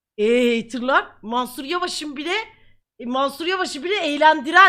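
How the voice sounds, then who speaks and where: A woman speaks in a high pitch with a raised, projected voice, her bright, sharp tone animated and her intonation lively at a moderate pace, on a very clean recording with a silent background. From Ankara, Turkey. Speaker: streamer. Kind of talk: live stream chat. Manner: repetitive, laughing.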